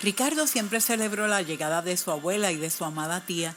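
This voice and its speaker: A woman at a moderate pace with lively intonation, music playing behind her. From Puerto Rico. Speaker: storyteller. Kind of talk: read story.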